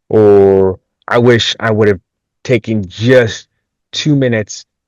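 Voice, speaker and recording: Over a quiet background, a man with an American accent speaks in a fairly low pitch with fairly even intonation, the sound dry and close with no echo. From Minnesota, US Midwest. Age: 20s. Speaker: agricultural industry professional. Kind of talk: podcast interview. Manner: hesitant, many fillers and restarts.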